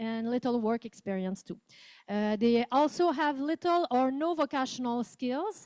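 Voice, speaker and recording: A woman with a Quebec accent, high in pitch, with ordinary pitch variation and a moderate pace, in a dry, close sound with no echo. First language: French. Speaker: professor. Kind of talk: conference presentation. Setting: conference room with interpreters. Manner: reading from a script.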